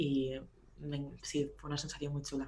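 A woman talks at a moderate pace in a very deep, low voice with vocal fry. Audible room echo surrounds her. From Spain, Barcelona. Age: 20s. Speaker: music tour photographer. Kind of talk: casual chat.

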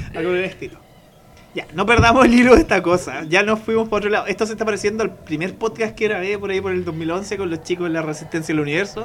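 At a very fast pace, a man talks with a high pitch and ordinary pitch variation. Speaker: podcast host. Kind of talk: casual chat.

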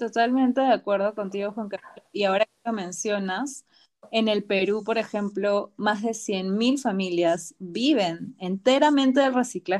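A woman with an unremarkable speaking voice talks at a fairly slow pace in a medium pitch with ordinary pitch variation, on a very clean recording with a silent background. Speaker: podcast host. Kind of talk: interview.

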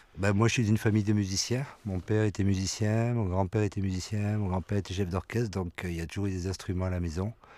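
A man speaks very fast with hardly any pauses, his fairly low voice dark and mellow in tone with fairly even intonation. The recording is very clean, with a silent background. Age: 50s. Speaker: musician. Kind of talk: interview. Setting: studio.

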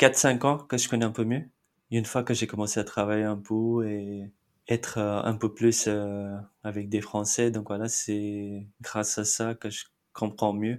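A man speaks with a Marathi accent in a fairly low pitch and monotone, flat intonation. The recording is very clean with a silent background. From India, Mumbai. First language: Marathi (speaking French). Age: 30s. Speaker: immigrant interviewee. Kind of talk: interview.

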